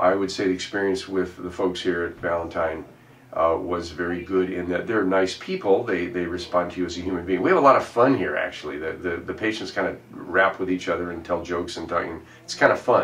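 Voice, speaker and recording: This man has a very deep, low pitch and fairly even intonation, talking at a fairly quick pace. Audible room echo is present. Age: 70s. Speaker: chiropractic patient. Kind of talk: testimonial. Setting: clinic office. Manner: halting.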